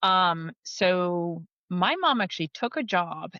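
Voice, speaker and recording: A woman with an American accent speaks in a medium pitch. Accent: American, unchanged. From United States. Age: 40s. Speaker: technology company leader. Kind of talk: podcast interview.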